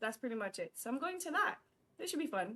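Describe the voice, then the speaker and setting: A high-pitched female voice. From Guyana. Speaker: faith talk show co-host. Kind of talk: casual chat.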